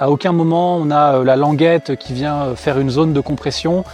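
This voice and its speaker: Through noticeable background noise, a man talks at a fairly high pitch and moderate pace with fairly even intonation. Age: 30s. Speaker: customer product tester. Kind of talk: product review testimonial. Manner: casual, many hesitations.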